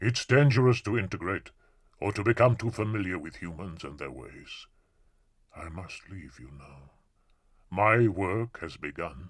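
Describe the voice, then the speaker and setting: A man speaks in a put-on character voice, fairly low in pitch, with lively intonation and big swings in loudness. Long, frequent pauses break up his lines, and the recording is very clean with a silent background. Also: moderate pace. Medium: read story. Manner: grave, solemn.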